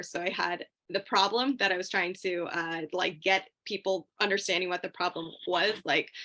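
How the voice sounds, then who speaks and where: A bright, sharp tone against a quiet background. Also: woman. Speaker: graduate student, past competitor. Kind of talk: panel discussion on video call. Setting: video call. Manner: fast.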